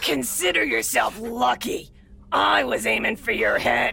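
A man speaks in a put-on character voice at medium pitch and a moderate pace, with light background noise. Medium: audio drama. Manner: playful, teasing, sadistic.

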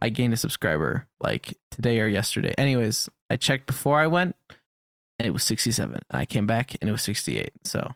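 Lively intonation, a fairly quick pace and vocal fry. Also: man, medium pitch for a man. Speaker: podcast co-host and YouTube creator. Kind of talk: casual chat.

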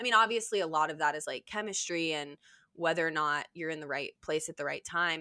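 A fairly quick woman's voice, fairly low in pitch, with ordinary pitch variation and a bright, sharp tone. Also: dry, close sound with no echo. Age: 30s. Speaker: podcast guest, photographer. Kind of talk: casual chat.

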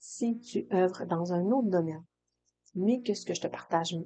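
With a Saguenay–Lac-Saint-Jean accent, a woman speaks fairly slowly at medium pitch, her tone dark and mellow and her pitch variation ordinary. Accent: Saguenay-Lac-Saint-Jean Quebec French. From Quebec, Saguenay-Lac-Saint-Jean. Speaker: hairdresser and coach, podcast host. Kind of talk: solo podcast monologue. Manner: casual, with fillers and repetitions.

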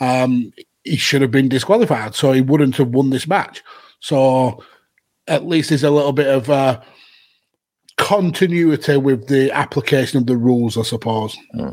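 A man's medium-pitched voice moves at a moderate pace, its pitch varying in an ordinary way. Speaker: podcast host. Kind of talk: casual chat. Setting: live stream with chat. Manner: animated, laughing.

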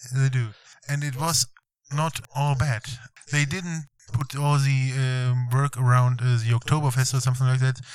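Speaking at a moderate pace in a German accent, a man with a medium-pitched, somewhat breathy voice keeps a monotone, flat intonation. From Germany. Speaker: visiting tourist on road trip. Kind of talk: casual interview chat. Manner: halting, many fillers.

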